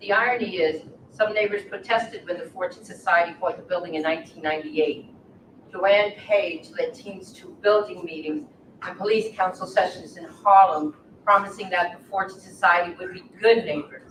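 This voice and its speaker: A woman with an ordinary speaking voice talks at a medium pitch and moderate pace, with ordinary pitch variation and big swings in loudness. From Long Island, New York. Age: 60s. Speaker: formerly incarcerated person, former resident. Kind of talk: scripted reading, staged testimony.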